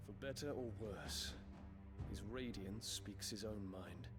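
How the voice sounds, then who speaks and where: Through loud background noise, a man in a put-on character voice speaks at a fairly slow pace with a fairly low pitch. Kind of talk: formal courtly speech. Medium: machinima.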